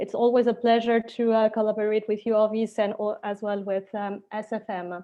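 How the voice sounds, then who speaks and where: A woman with a strong French accent speaks at a moderate pace in a fairly high, monotone voice, with hardly any pauses and flat intonation. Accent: very strong French accent in English. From Switzerland, French-speaking, Spanish roots. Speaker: lawyer. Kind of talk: webinar presentation. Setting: online webinar.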